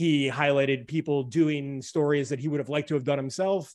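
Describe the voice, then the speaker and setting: Someone with an unremarkable speaking voice talks at a fairly quick pace against a quiet background. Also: man. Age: 40s. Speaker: sports journalist. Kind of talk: casual chat.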